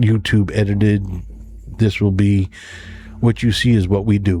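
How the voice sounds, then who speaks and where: With a fairly low pitch and flat, monotone intonation, the man sounds somewhat breathy, keeping a moderate pace and very even loudness. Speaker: podcast host. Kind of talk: podcast outro monologue.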